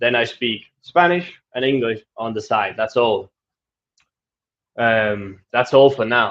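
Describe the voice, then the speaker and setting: A man's medium-pitched voice in a Danish accent, with ordinary pitch variation, a very slow pace, and long, frequent pauses. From Denmark. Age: 20s. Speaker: travel vlogger. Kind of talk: live stream Q&A. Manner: casual, with fillers.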